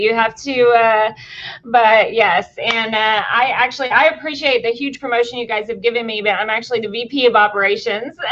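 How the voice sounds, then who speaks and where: With a Tennessee accent, a woman talks at a fairly quick pace using fairly even intonation. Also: fairly high pitch for a woman. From Tennessee, now living in Texas. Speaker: VP of operations, guest on a show.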